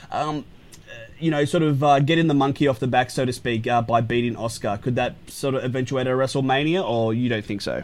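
Speaking at a fairly quick pace, a man with an Australian accent shows ordinary pitch variation. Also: medium pitch for a man. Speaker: radio host. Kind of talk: radio show banter about wrestling. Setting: radio studio. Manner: animated, enthusiastic.

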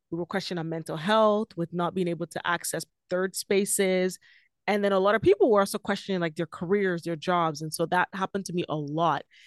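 A woman with a plain, everyday voice talks at a fairly quick pace and medium pitch, her intonation fairly even, in a dry, close sound with no echo against a quiet background. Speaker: podcast host as guest. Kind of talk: casual interview chat.

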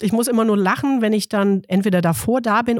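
A woman speaks in an unremarkable speaking voice at a medium pitch and a moderate pace. The sound is dry and close, with no echo. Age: 40s. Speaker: midwife. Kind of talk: casual interview chat.

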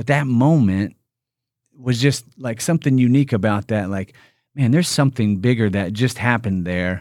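Speaking at a moderate pace and medium pitch with ordinary pitch variation, a man with a Midwestern US accent is heard on a very clean recording with a silent background. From Indiana. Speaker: company executive. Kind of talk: casual interview.

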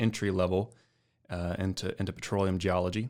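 In a Texan accent, a man speaks fairly quickly, his pitch fairly low and his intonation fairly even. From West Texas, San Angelo. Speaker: geophysicist. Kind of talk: casual interview. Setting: studio.

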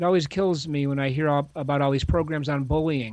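On a very clean recording with a silent background, a man uses an ordinary speaking voice at a moderate pace, with a fairly high pitch and ordinary pitch variation. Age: 50s. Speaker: author and speaker. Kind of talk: podcast interview.

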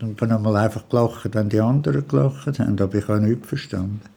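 Intonation stays fairly even in this dark, mellow tone. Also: man. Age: 70s. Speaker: retiree. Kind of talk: interview.

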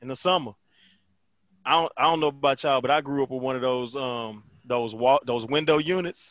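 On a very clean recording with a silent background, a man uses a normal speaking voice at medium pitch, ordinary pitch variation and a fairly quick pace. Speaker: podcast co-host. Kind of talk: casual banter.

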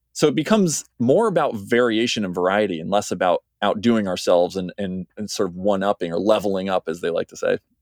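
With an American accent, a man talks at a very fast pace in a fairly low voice with hardly any pauses, in a dry, close sound with no echo. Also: ordinary pitch variation, quiet background. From United States. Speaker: PhD researcher in history. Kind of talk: podcast interview. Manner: halting, many fillers.

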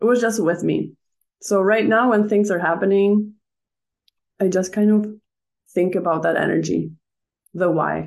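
Calm in tone, a woman at medium pitch speaks at a moderate pace with long, frequent pauses, very even loudness and fairly even intonation. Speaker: emotional wellness coach. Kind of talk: interview.

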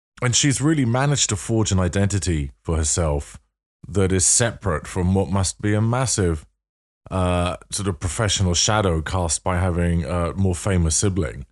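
In a North London accent, a man speaks at a very deep, low pitch with lively intonation and very even loudness. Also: moderate pace, very clean recording, silent background. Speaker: podcast host. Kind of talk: casual interview chat.

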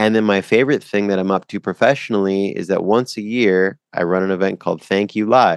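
A man with a Canadian accent and an ordinary speaking voice talks at a fairly quick pace with hardly any pauses, his fairly low pitch carrying fairly even intonation, the sound dry and close with no echo over a quiet background. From Canada. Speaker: professional speaker and coach. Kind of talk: casual interview chat.

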